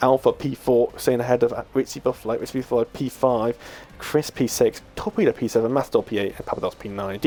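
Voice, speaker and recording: In a put-on character voice, a man speaks very fast at a medium pitch, sounding hoarse. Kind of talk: sports commentary.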